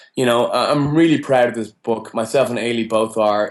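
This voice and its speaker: Against a quiet background, the speaker talks at a fairly quick pace with an Irish accent and fairly even intonation. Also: man. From Ireland. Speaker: college rugby coach. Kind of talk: interview.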